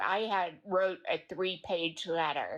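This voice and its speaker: A woman speaks in a Tennessee accent at a medium pitch and a very slow pace. The background is quiet. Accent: Tennessee Southern. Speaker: true crime community member apologizing. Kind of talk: live stream apology statement.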